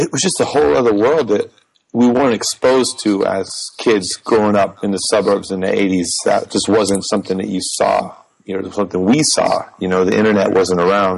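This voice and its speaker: A man speaks at a fairly quick pace with a fairly low pitch. It is an ordinary speaking voice, with ordinary pitch variation. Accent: American. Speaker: music teacher and jazz bassist. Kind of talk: casual chat. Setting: video call.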